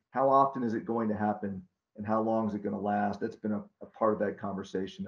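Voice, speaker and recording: Delivered at a very fast pace in an American accent, the speech keeps a fairly even intonation. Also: man. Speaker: wastewater engineering consultant. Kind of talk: online Q&A discussion. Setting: video call. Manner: halting.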